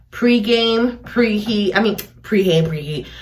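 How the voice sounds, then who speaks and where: A somewhat breathy woman with an American accent and fairly high pitch speaks at a fairly slow pace amid audible room echo. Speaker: beauty vlogger. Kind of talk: tutorial. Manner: casual, filler-heavy.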